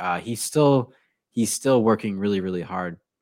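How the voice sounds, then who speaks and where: A plain, everyday voice with an American accent comes through in a very clean recording with a silent background. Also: man. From Connecticut, Newtown. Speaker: English teacher and podcaster. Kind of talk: casual interview chat.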